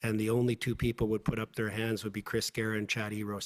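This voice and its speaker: In a Canadian accent, a man talks at a very fast pace with a fairly low pitch. His monotone, flat delivery has a dry, close sound with no echo. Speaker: lawyer testifying as witness. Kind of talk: inquiry testimony under cross-examination. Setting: public inquiry hearing room.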